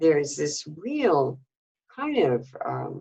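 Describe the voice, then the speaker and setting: A woman speaks with an American accent in a very deep, low voice. Her pitch varies in an ordinary way. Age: 70s. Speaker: former activist. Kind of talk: interview.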